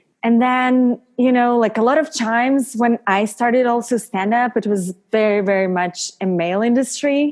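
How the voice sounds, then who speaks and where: Over music in the background, a woman with a Russian accent speaks at a fairly high pitch and a moderate pace, with hardly any pauses, ordinary pitch variation and very even loudness. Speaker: model, actress and stand-up comedian. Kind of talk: podcast interview.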